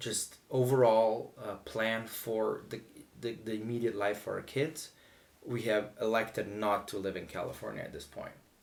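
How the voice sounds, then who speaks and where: Speaking with a Slovene accent, a man keeps a moderate pace. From Slovenia. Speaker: vlogger. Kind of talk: casual chat. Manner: halting.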